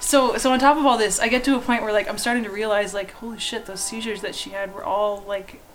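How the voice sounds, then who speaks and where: With a Canadian accent, a woman speaks at a very fast pace with hardly any pauses, in a fairly high pitch with fairly even intonation. Her loudness swings widely over music in the background. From Canada. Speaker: artist. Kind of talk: casual chat.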